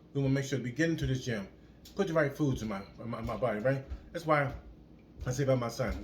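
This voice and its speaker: A somewhat breathy man's voice at a very fast pace with long, frequent pauses, ordinary pitch variation and audible room echo. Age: 60s. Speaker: fitness vlogger. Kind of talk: motivational casual talk to camera. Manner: repetitive, halting with word repeats; animated.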